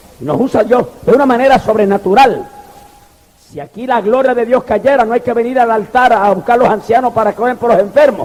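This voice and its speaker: Noticeable background noise sits behind a man whose pitch is extremely high. He keeps a moderate pace with ordinary pitch variation. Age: 60s. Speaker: pastor. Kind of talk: sermon. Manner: animated.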